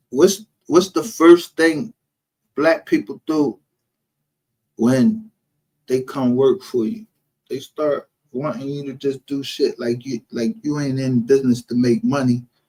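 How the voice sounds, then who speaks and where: A man with a fairly high pitch and a dark, mellow tone talks at a fairly slow pace with lively intonation and long, frequent pauses. The sound is dry and close, with no echo. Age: 50s. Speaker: live streamer, true crime commentator. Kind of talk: casual livestream rant. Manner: animated.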